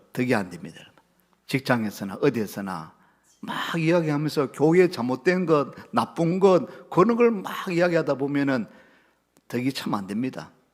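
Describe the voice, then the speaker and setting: In a Gyeongsang accent, a man speaks at a moderate pace and a fairly high pitch with very wide pitch swings. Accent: Gyeongsang intonation. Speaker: pastor. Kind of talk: sermon. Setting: church service. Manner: strong, emphatic intonation.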